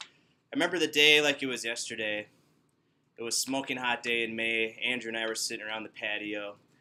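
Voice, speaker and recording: Bright and sharp in tone, a man with a Wisconsin accent speaks at a fairly quick pace, medium pitch, with ordinary pitch variation. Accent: Upper Midwest (Wisconsin) American. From Wisconsin, Milwaukee. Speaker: student giving a speech. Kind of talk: descriptive speech to small audience. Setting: workplace, in front of coworkers. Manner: casual, conversational.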